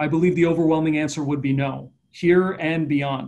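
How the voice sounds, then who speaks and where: A man's plain, everyday voice with a Canadian accent, fairly high pitch, fairly even intonation and a fairly quick pace. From Eastern Canada. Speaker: economic development strategist; panelist. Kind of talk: online panel discussion. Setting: online video event. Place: office. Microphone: video call.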